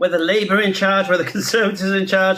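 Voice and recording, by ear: A man's high-pitched voice with a bright, sharp tone, fairly even intonation and audible room echo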